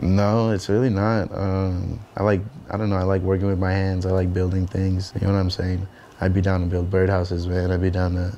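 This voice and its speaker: Over light background noise, a man with a very deep, low pitch talks at a fairly quick pace, his intonation monotone and flat and his loudness very even. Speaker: interviewee. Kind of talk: interview answer. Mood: casual, reflective. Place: home room.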